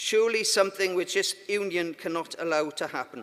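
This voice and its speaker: With a Welsh accent, a man speaks at a moderate pace in a high pitch, using ordinary pitch variation. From Wales. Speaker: union conference delegate. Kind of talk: conference speech.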